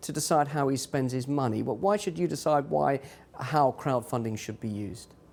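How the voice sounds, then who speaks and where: A man speaks fairly quickly at a fairly high pitch. He has an unremarkable speaking voice. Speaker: TV news presenter. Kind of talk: live TV news interview.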